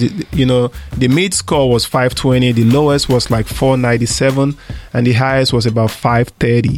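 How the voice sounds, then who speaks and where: A man with a Nigerian accent speaks fairly slowly at a medium pitch, with fairly even intonation and very even loudness. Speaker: radio co-host, lending company president. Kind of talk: casual chat. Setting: studio.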